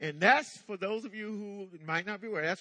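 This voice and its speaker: Raised and projected, a man's high voice sounds bright and sharp, with lively intonation. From US South, eastern North Carolina. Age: 60s. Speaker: pastor. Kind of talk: sermon. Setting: church.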